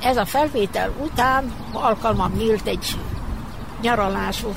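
A woman talks at a fairly slow pace, with audible room echo and noticeable background noise around her. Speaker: retired children's radio editor. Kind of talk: reminiscing interview. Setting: outdoors in front of a building.

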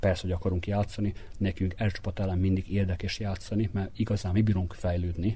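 A man's very deep, low voice, dark and mellow in tone and somewhat breathy, moves at a fairly quick pace with a monotone, flat delivery. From Vojvodina, Serbia (Topolya). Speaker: basketball coach. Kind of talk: interview.

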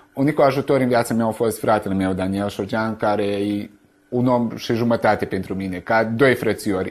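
Medium-pitched male speech at a moderate pace, with fairly even intonation. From Vojvodina, Serbia (Romanian village Sân-Mihai). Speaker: poet. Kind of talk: interview testimony. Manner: halting, repeats words.

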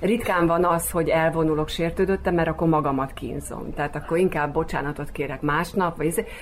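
A woman talks fairly quickly in a plain, everyday voice. Her pitch sits fairly low, and her intonation stays fairly even. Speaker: actress and local politician. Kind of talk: radio interview.

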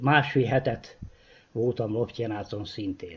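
At a very slow pace, a man speaks in a somewhat breathy voice with ordinary pitch variation. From Vojvodina, Serbia (Kishegyes). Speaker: retired postman. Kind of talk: interview.

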